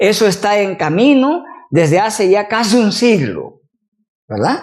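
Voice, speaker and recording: With lively intonation, a man talks at a fairly slow pace and a high pitch. Room echo can be heard. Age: 60s. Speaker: university professor, teacher trainer. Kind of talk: lecture.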